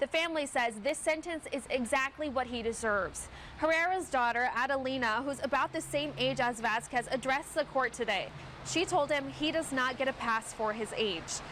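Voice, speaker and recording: A woman's high voice moves at a moderate pace with ordinary pitch variation. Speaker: TV news anchor and reporter. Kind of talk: TV news anchor read.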